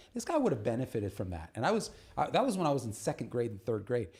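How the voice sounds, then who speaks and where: A man talks at a very fast pace. His pitch swings very widely, with vocal fry. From Portuguese-speaking country, came to US as child refugee. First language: Portuguese. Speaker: apologetics podcast co-host. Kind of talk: casual chat.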